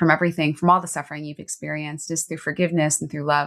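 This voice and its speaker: On a very clean recording with a silent background, a woman speaks in a fairly low pitch with monotone, flat intonation. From US East Coast, Baltimore. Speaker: transformational coach. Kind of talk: interview, personal testimony.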